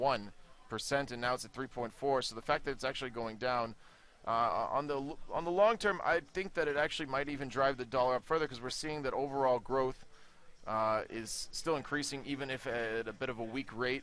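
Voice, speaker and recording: A man speaks at a fairly quick pace in a medium pitch, with an American accent. His pitch varies in an ordinary way, and it is an ordinary speaking voice. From United States. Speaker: market analyst. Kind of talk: market briefing. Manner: casual, many fillers.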